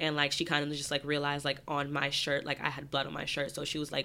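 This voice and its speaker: Speaking at a very fast pace, a woman has a very deep, low pitch and a bright, sharp tone. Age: 20s. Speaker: beauty publicist and writer. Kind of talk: casual chat.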